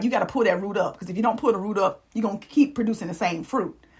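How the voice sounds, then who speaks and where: A woman speaks in an animated tone at a fairly high pitch. Noticeable background noise runs beneath her. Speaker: life coach and influencer. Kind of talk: motivational talk. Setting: live stream.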